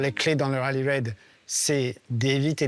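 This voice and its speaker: A man talks at a fairly slow pace. Background noise is noticeable. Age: 60s. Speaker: technical director of a rally team. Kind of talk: documentary interview, technical explanation. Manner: hesitant, many filler sounds.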